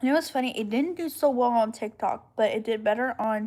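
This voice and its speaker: A woman speaks at a fairly high pitch. Her pace is moderate, with ordinary pitch variation. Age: 20s. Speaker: live streamer, young mother. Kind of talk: casual live-stream chat. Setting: home live stream at night. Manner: casual, chatty.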